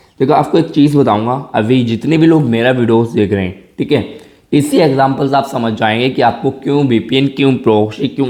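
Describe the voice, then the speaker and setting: Animated tone from a man at medium pitch, with ordinary pitch variation. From rural India. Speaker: tech YouTuber. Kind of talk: tutorial. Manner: casual, animated.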